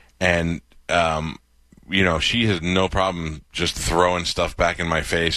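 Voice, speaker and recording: A man's very deep, low voice with a bright, sharp tone. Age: 40s. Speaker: radio host. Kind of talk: casual chat. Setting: home studio.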